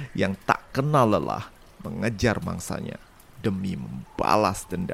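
A man talks with very wide swings in pitch. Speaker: podcast storyteller. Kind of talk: scripted narration.

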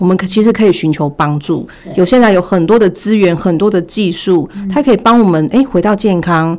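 In an ordinary speaking voice, a woman talks at medium pitch with ordinary pitch variation. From Taiwan, Taichung. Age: 40s. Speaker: former retail manager. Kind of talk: personal testimony in interview.

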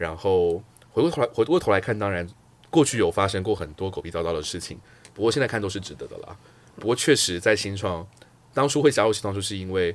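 Very fast delivery with lively intonation and big swings in loudness. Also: man, fairly low pitch for a man. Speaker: career guest, customer success lead. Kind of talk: casual interview chat.

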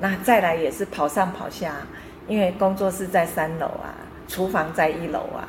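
With fairly even intonation, a woman speaks at medium pitch and a moderate pace over noticeable background noise. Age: 60s. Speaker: painter. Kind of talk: interview. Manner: hesitant fillers, mixes English words.

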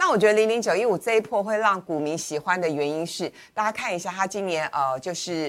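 A woman's normal speaking voice at a medium pitch, with ordinary pitch variation, a fairly quick pace and hardly any pauses. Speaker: financial commentator. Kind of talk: finance talk show discussion.

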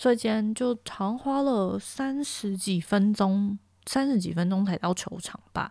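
On a very clean recording with a silent background, a woman speaks fairly slowly at a medium pitch, her tone dark and mellow with ordinary pitch variation. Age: 20s. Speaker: podcast host. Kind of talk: casual solo monologue.

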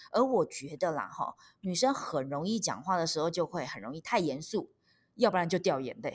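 The speaker uses lively intonation with a Taiwanese accent at a moderate pace. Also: woman, fairly low pitch for a woman. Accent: Taiwanese Mandarin. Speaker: stand-up comedian and author. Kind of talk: interview. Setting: remote recording. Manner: lively, expressive; laughs often.

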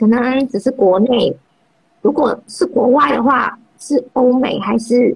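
A woman's high-pitched voice moves with ordinary pitch variation. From Malaysia. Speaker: personal finance blogger. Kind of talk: interview. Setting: Instagram livestream. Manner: halting, many fillers.

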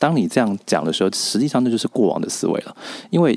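A man at a very fast pace with lively intonation. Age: 20s. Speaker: author and public speaker. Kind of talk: interview.

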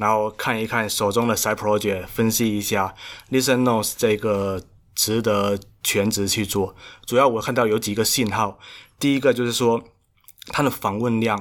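A man's fairly low voice in a monotone, flat intonation, in a very clean recording with a silent background. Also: moderate pace. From Xiamen, China. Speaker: solo startup founder. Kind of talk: casual interview chat. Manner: halting.

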